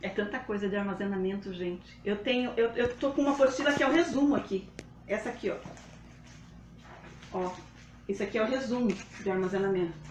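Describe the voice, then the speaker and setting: Amid noticeable background noise, a woman at a medium pitch speaks at a fairly quick pace with ordinary pitch variation and long, frequent pauses. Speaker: live demonstration host, home food storage. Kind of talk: live tutorial. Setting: livestream. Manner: fast.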